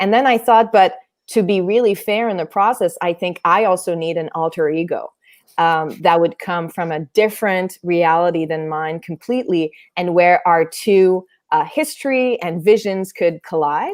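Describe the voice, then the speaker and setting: A woman's medium-pitched voice with a Quebec accent, ordinary pitch variation and a moderate pace. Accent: Québécois French-accented English. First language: French. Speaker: theatre artist. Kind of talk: interview conversation. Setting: online stream.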